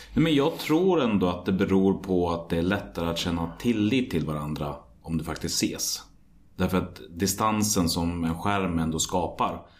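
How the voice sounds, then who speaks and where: Audible room echo surrounds a man speaking at a moderate pace with a very deep, low pitch and ordinary pitch variation. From Sweden, Västmanland (Hallstahammar). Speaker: podcast host. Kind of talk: interview.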